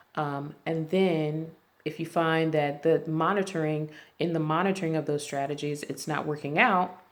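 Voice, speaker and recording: A woman speaks at a very deep, low pitch. Her intonation is monotone and flat at a moderate pace. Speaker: insurance and risk management consultant. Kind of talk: tutorial. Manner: halting, stumbling.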